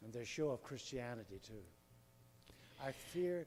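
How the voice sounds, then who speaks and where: In an Irish accent, a man talks at a moderate pace with a medium-pitched voice. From Northern Ireland. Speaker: audience member asking a question. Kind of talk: audience Q&A.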